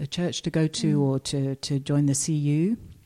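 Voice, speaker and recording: Very deep and low in pitch, a woman speaks with a southern English accent in a dark, mellow tone at a fairly slow pace. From southeast England. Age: 50s. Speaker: retired nurse. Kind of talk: interview testimony.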